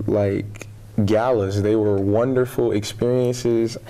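Speaking very slowly, a man with an American accent keeps a fairly low pitch. His intonation is monotone and flat. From Michigan, Flint; Michigan. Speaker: college student, pageant contestant. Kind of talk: interview. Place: studio. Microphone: lapel.

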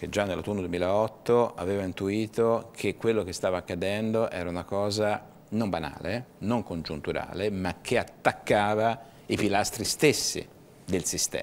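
With an unremarkable speaking voice, a man talks at a moderate pace, his pitch fairly low and its variation ordinary. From Tuscany, Livorno; Tuscany. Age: 50s. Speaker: business association director; guest. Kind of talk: TV interview. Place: studio.

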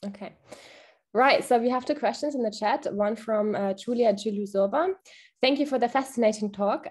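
In a quiet setting, a woman speaks at a moderate pace with a fairly high pitch and ordinary pitch variation. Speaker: seminar moderator. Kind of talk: Q&A moderation. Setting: video call. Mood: friendly, polite. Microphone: webcam.

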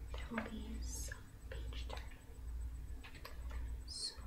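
A woman is speaking. Loud background noise is present. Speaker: ASMR creator. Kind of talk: ASMR anatomy reading. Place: home room. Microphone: studio mic.

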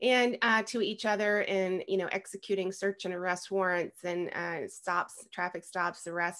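A woman speaks at a moderate pace with fairly even intonation against a quiet background. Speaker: podcast guest. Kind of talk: interview answer. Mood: warm, proud, some laughs. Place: home room. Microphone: video call.

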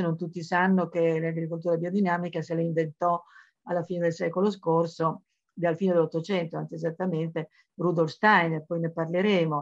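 A woman talks fairly quickly at a fairly low pitch, her intonation monotone and flat. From Emilia, Modena area (born in Florence). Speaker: journalist and writer on esoteric topics. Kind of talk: biographical lecture.

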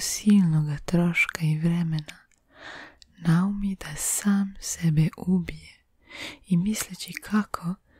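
Someone is whispering in a quiet background. The sound is dry, with no echo. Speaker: ASMR artist. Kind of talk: folk tale reading. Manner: whispered. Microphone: studio mic.

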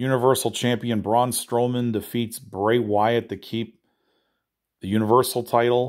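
A man's flat, monotone delivery at a fairly slow pace against a quiet background. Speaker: news presenter. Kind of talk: nightly news-style report on wrestling and comics, read off a rundown. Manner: brisk and matter-of-fact, rattling off results; casual, informal, with small fillers. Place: home room. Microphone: phone near.

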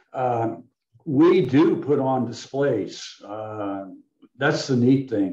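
Amid audible room echo and a quiet background, a man of medium pitch speaks at a very slow pace in a dark, mellow tone. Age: 80s+. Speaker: bottle collector and local historian presenting his book; guest. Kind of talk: illustrated history presentation with Q&A. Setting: video call webinar. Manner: rambling, conversational with frequent fillers. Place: home room. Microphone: video call.

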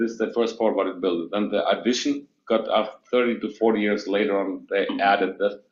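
A man speaks with a non-native accent at a medium pitch. His pace is fairly slow. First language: not English. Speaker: building owner presenting to planning board. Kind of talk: public meeting testimony. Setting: city planning board meeting. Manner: halting.

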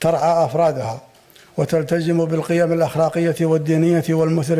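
The pace is moderate. It is a man speaking. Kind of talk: formal speech. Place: hall. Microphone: podium.

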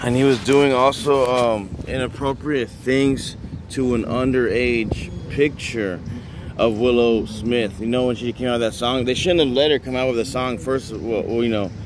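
Moderate pace and fairly even intonation from a man, dry with no echo, over noticeable background noise. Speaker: vlogger. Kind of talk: casual vlog commentary. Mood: disapproving, ranting. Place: street. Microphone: phone near.

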